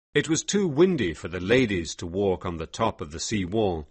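Someone does plain reading aloud here.

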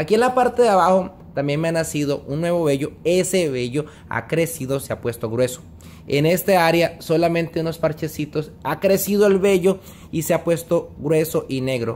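A man speaks at a moderate pace with a high pitch and ordinary pitch variation. Light background noise is audible. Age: 30s. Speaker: vlogger. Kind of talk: casual vlog monologue. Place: home room. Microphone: phone near.

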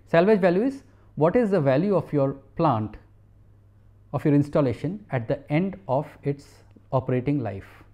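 Against a quiet background, a man speaks at a moderate pace with lively intonation and long, frequent pauses. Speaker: university professor. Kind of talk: lecture. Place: studio.

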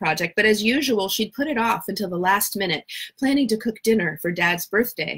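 The text is being read aloud in a natural voice. Nothing about the reading is forced.

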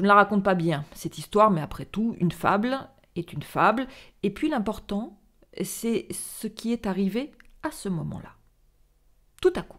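A woman at a fairly slow pace with lively intonation, big swings in loudness and long, frequent pauses, against a quiet background. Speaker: storyteller reading a theatrical monologue. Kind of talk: dramatic narration of a monologue, read aloud. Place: home room. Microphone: studio mic.

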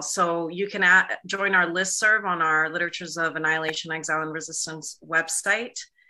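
Against a quiet background, a woman with a fairly low pitch and a bright, sharp tone talks at a moderate pace. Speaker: event organizer; event host. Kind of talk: closing announcements. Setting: video call. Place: home room. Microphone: video call.

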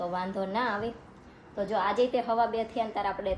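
A woman speaks over noticeable background noise. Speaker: family vlogger. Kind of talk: casual vlog narration.

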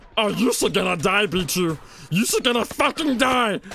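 Using a put-on character voice, a man speaks at a high pitch. Clear background noise is audible. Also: moderate pace. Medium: role play. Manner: excited, energetic.

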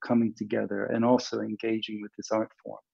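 A man speaks at a very fast pace with a dark, mellow tone. The background is quiet. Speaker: performance science professor. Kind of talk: panel discussion. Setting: video call. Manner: halting. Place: home room. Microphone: video call.

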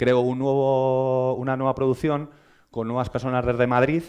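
A man speaking at a moderate pace against a quiet background. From Spain. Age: 30s. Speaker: social media editor; conference speaker. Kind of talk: lecture. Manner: hesitant, many fillers. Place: hall. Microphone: headset.

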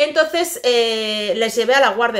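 Bright and sharp in tone, a woman speaks at a fairly high pitch and a fairly slow pace, with ordinary pitch variation. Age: 40s. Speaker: vlogger. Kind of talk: casual chat; casual vlog chat. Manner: halting. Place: home room. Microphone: phone near.

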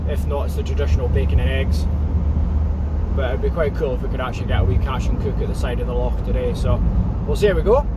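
A man's very fast speech with ordinary pitch variation, a dry sound with no echo, and loud background noise. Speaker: driver vlogger. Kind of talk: casual vlog chat. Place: car. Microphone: phone near.

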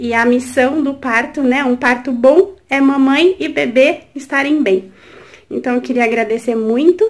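A woman speaks at a fairly slow pace. Her pitch is high. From Brazil, São Paulo. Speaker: new mother, course student. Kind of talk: video testimonial. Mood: warm, grateful. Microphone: phone near.

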